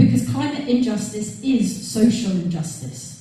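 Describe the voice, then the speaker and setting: Pitch swings very widely in this voice with a London accent, heard with audible room echo and noticeable background noise. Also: woman. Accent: southern English (London). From London, Wimbledon. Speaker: election candidate. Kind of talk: campaign speech. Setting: stage with audience.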